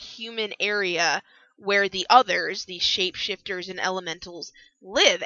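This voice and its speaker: A woman's plain, everyday voice, fairly high in pitch, at a moderate pace. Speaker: book reviewer. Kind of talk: casual book review talk. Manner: casual, chatty.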